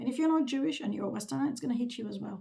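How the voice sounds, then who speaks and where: The voice has a dark, mellow tone with vocal fry. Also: woman. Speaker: vlogger. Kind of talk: casual monologue.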